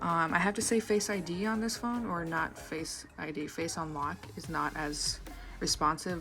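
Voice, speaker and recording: A fairly low-pitched woman's voice with ordinary pitch variation over music in the background. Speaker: tech reviewer. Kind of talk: casual talk to camera.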